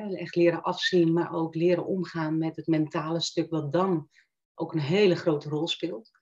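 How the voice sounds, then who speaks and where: Speaking at a moderate pace, a woman with a fairly low pitch keeps a flat, monotone intonation. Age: 50s. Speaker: coach. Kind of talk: interview. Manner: hesitant, many fillers.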